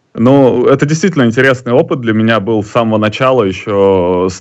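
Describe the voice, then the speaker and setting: There is ordinary pitch variation as a man speaks at a fairly low pitch. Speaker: poker player and live tournament commentator. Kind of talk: casual chat. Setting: video call.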